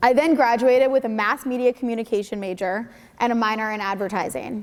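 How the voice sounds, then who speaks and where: A woman speaks with an American accent at a very fast pace. Her pitch is fairly high, with ordinary pitch variation. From Connecticut, US. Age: 20s. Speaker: entrepreneur, mental health speaker. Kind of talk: school presentation speech. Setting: school stage with audience, microphone.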